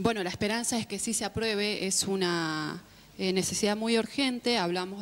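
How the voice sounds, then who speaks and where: A woman speaks at a moderate pace and medium pitch. Her intonation is fairly even. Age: 20s. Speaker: community communicator and activist. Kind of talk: panel debate. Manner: hesitant, many fillers.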